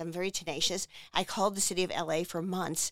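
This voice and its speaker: Recorded very cleanly against a silent background, a woman speaks with an American accent at medium pitch. Her fairly quick delivery sounds dry and close, with no echo. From US Northeast, New Jersey shore. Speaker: arts nonprofit director. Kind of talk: interview. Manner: animated.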